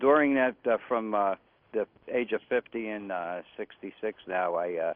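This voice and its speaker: Pitched fairly low for a man, this male speaker keeps a medium tempo and lets his pitch move in a normal way. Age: 60s. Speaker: caller. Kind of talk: call-in question. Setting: phone call. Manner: halting.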